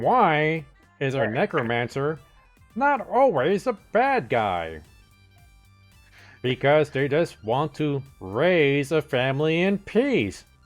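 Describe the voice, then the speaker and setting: In a put-on character voice at low-to-middle pitch, the speaker goes at a very slow pace with long, frequent pauses while faint music plays in the background. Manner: sarcastic, dry, mocking.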